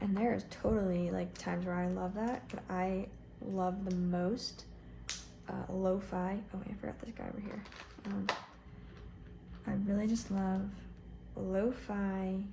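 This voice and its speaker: A soft-spoken woman talks at a fairly slow pace. Noticeable background noise sits behind her. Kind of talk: casual talk to camera.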